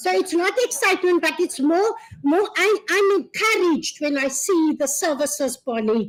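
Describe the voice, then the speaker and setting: A woman with a South African accent speaks at an extremely high pitch. Her pitch swings very widely while her loudness stays very even. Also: moderate pace. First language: Afrikaans. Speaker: gender-based violence service provider. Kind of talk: public speech. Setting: launch event with audience.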